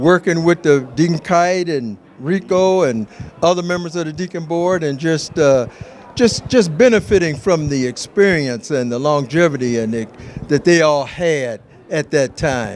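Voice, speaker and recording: Against noticeable background noise, a man talks at a fairly slow pace, fairly high in pitch, with lively intonation. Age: 60s. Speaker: church deacon. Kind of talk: testimony.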